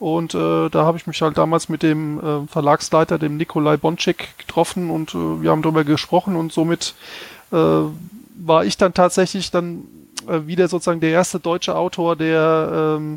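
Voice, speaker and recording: A man speaks in a monotone, flat intonation, with a dry, close sound and no echo. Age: 40s. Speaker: game tester and gamebook author. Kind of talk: casual chat.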